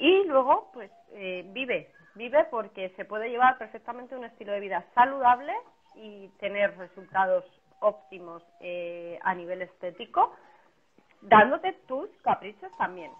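Fairly high in pitch, a woman speaks fairly slowly with lively intonation and big swings in loudness. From Spain. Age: 30s. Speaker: personal trainer. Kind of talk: casual interview on a livestream. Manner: animated.

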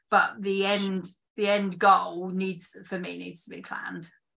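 Bright and sharp in tone, the voice carries a British accent and a monotone, flat intonation. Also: woman. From UK. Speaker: screenwriter and theatre director. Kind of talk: casual interview chat. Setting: video call, late at night.

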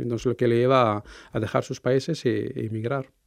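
A man with a medium-pitched voice speaks against a quiet background. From Morocco. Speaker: intercultural mediator. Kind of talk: interview. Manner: halting, many fillers.

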